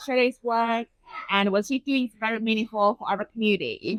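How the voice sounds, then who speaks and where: A woman with a Chinese accent speaks at a moderate pace. The sound is dry and close with no echo. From China. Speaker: urban designer. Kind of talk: interview.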